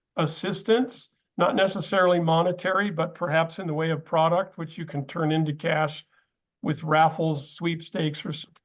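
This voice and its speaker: In a normal speaking voice with an American accent, a man with a fairly high pitch speaks at a moderate pace with fairly even intonation. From US Southern California. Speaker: podcast host. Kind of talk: panel discussion.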